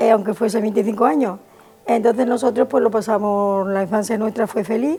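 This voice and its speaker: Over music in the background, a woman speaks at a fairly quick pace with a fairly high pitch and fairly even intonation. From Andalusia, Córdoba province (La Carlota). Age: 70s. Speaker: retired nurse telling family memories. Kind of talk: personal testimony. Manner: hesitant, many fillers.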